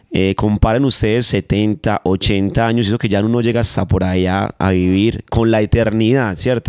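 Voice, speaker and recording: A man with a paisa accent, fairly low in pitch, with fairly even intonation, a quiet background, and dry sound without echo. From Manizales, Colombia; Colombia. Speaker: urban music artist; guest. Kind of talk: interview. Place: home room. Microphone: handheld.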